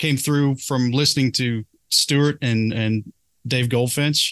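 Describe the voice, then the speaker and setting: A man's very slow, monotone, flat delivery, dry and close with no echo, against a quiet background. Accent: American. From Kentucky, US. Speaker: podcast host.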